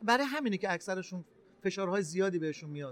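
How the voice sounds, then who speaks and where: A man talks with lively intonation. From Iran, Gilan (Rasht). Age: 40s. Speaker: entrepreneur. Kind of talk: interview. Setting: trade fair booth.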